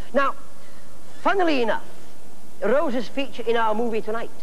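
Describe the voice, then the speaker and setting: Very wide pitch swings at a moderate pace, with light background noise. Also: man. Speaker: TV horror host. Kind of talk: horror host intro. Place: studio.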